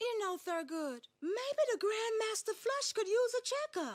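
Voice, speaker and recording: In a put-on character voice, a woman sounds squeaky and extremely high-pitched, swinging very widely in pitch while keeping a calm tone at a moderate pace. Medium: cartoon. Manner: calm, patient.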